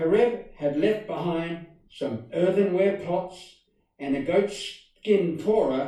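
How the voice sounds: A quiet background frames the recording. Over it, a natural reading voice is heard.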